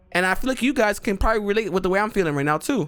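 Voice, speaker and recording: A man speaks in an animated tone with lively intonation and a high pitch. Music plays in the background. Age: 20s. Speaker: gaming youtuber. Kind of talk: casual vent monologue. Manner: animated, repetitive with false starts.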